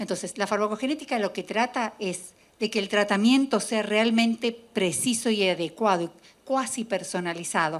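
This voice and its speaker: A woman's fairly high voice at a moderate pace, ordinary pitch variation, on a very clean recording with a silent background. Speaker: geneticist and biochemist. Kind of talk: lecture. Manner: halting, with self-corrections.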